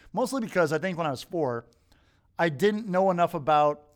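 On a very clean recording with a silent background, a man speaks in a plain, everyday voice with ordinary pitch variation. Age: middle-aged. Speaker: podcast host. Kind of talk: casual chat.

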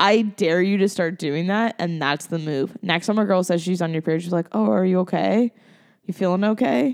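A woman with a plain, everyday voice speaks at a medium pitch and a moderate pace, with ordinary pitch variation, against a quiet background. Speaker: guest. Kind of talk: casual chat.

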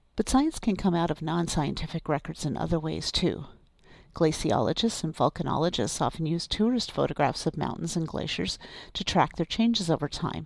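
Here a woman speaks at a fairly quick pace with a fairly low pitch and vocal fry. Her intonation is lively. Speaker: archivist podcast host. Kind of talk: scripted podcast narration.

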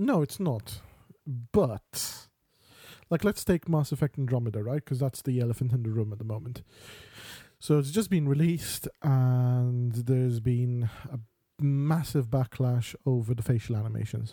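In a very clean recording with a silent background and a dry, close sound with no echo, the voice is dark and mellow, somewhat breathy, moving at a moderate pace with ordinary pitch variation. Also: man, medium pitch for a man. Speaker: podcast co-host. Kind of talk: casual banter chat.

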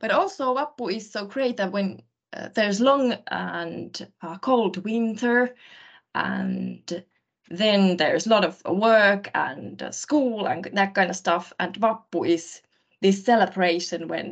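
Speaking at a very slow pace with a Finnish accent, a woman uses a medium pitch and ordinary pitch variation while her loudness swings widely. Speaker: university staff. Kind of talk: casual chat.

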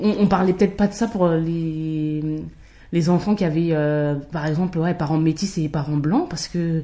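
Her tone dark and mellow, a woman speaks somewhat breathily at a fairly low pitch and fairly slow pace with fairly even intonation. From France, Paris region (Val-d'Oise). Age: 30s. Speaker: podcast guest sharing mixed-race experience. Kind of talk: casual chat.

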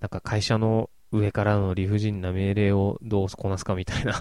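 A man speaks at a moderate pace in a dark, mellow, relaxed tone with monotone, flat intonation, in a very clean recording with a silent background. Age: 30s. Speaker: podcast host reviewing anime and films. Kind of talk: casual solo monologue. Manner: relaxed, with many fillers.

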